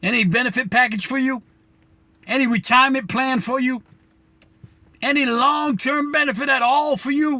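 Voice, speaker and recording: Using a raised, projected voice, a man speaks at an extremely high pitch with a bright, sharp tone. His pace is moderate, his pitch variation ordinary, and he leaves long, frequent pauses. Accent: American. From New Bedford, Massachusetts. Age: 70s. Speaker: community commentator. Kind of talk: direct-to-camera monologue. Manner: impassioned, emphatic; halting with repetitions.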